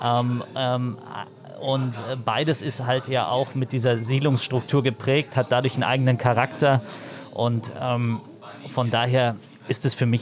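This is a man's voice at a medium pitch. He keeps a moderate pace. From Berlin (East, Marzahn-Hellersdorf). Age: 30s. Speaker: politician. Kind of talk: interview. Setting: on a train. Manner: halting, many fillers.

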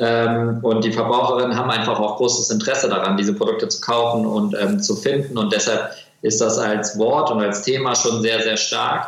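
A man with a medium pitch talks at a moderate pace, his loudness very even and his intonation fairly even. Noticeable background noise and audible room echo fill the recording. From Germany, Kassel. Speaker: textile company founder. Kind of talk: interview. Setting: video call.

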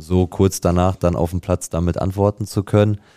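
A man's very deep, low voice, dark and mellow in tone, with fairly even intonation at a moderate pace in a dry, close sound with no echo. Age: 20s. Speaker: amateur football striker. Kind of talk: casual chat. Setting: studio.

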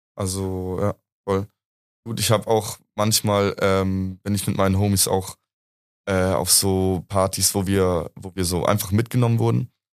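An ordinary speaking voice from a man at a fairly slow pace with fairly even intonation, on a very clean recording with a silent background and a dry, close sound with no echo. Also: fairly low pitch for a man. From Munich, Bavaria. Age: 20s. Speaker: university student. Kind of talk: casual chat.

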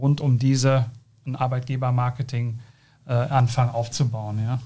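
At a fairly slow pace, a man speaks with a somewhat breathy, dark, mellow tone, a medium pitch and monotone, flat intonation. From South Westphalia, Germany. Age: 30s. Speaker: company co-founder. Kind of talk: interview. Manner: hesitant, many fillers.

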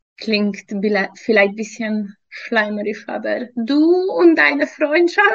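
A woman with a Hungarian accent speaks at a very slow pace. Her fairly high voice moves through very wide pitch swings. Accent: non-native German, Hungarian. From Hungary. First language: Hungarian (speaking German). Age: 30s. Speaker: fitness trainer and nutrition coach. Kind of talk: interview testimony. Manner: hesitant, many fillers.

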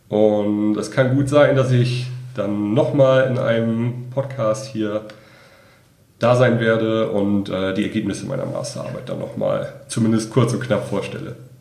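This man's voice has a dark, mellow tone and fairly even intonation, moving at a fairly slow pace with audible room echo. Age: 20s. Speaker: master's student. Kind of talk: interview.

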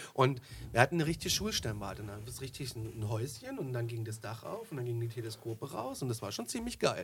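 A man rattles through his words very fast, his intonation fairly level. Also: medium pitch for a man. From Germany, northern Hesse. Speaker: podcast host. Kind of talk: casual chat. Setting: studio.

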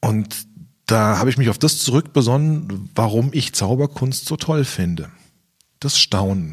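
This man's lively intonation stands out on a very clean recording with a silent background. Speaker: magician and YouTube video consultant. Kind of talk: interview. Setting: podcast. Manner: loud.

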